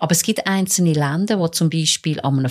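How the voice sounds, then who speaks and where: In a dry, close sound with no echo, a woman with a plain, everyday voice speaks at a moderate pace in a fairly low pitch with ordinary pitch variation. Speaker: court reporter. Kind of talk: casual chat. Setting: studio.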